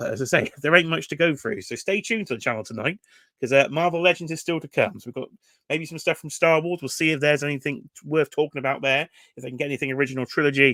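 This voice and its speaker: A man's very fast, fairly high voice in a British accent, bright and sharp, with ordinary pitch variation, big swings in loudness, and a dry, close, very clean recording with a silent background and no echo. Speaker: toy collector YouTuber. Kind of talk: live reaction commentary. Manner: casual, conversational.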